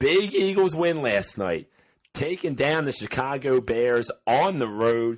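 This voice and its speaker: Very wide pitch swings mark this man's speech. He has an American accent and a very slow pace. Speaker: sports podcast host. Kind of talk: casual chat.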